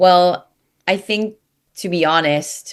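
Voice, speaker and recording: Very slowly, a woman with an American accent speaks in a fairly low pitch. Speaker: workplace play specialist. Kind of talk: interview.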